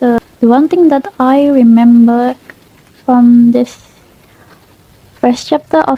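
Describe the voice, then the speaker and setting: A woman with a non-native accent speaks at a very slow pace and a high pitch. The sound is dry and close, with no echo. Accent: non-fluent English speaker. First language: Indonesian. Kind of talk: casual book review to camera.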